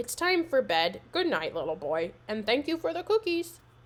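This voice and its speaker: A woman puts on a growling character voice, high in pitch with very wide pitch swings. She speaks at a moderate pace. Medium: read story. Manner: gentle, growling.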